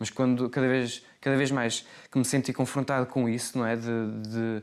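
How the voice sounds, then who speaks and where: Monotone, flat male speech at a medium pitch. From Portugal, Porto. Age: 20s. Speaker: actor. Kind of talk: interview. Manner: hesitant, many fillers.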